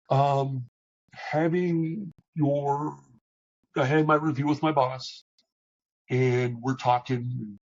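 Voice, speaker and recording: A man speaks in a somewhat breathy, fairly high voice. His intonation is fairly even. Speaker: operations leader. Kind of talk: interview.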